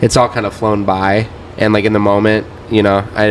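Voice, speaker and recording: A man with a Midwestern accent and a fairly low pitch talks at a fairly quick pace amid noticeable background noise. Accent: US Midwest (Ohio). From northeast Ohio (Cleveland area). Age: 20s. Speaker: DJ and producer. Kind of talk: casual interview chat. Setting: bar, in person.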